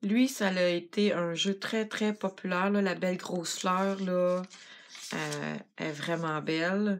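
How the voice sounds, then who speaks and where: At a very slow pace, a woman with a Quebec accent speaks at a medium pitch with ordinary pitch variation. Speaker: craft product demonstrator. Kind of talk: tutorial.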